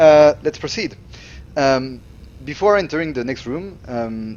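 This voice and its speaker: A man speaks at a fairly slow pace with a French accent, his pitch varying in an ordinary way. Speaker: level designer. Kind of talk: tutorial. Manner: halting.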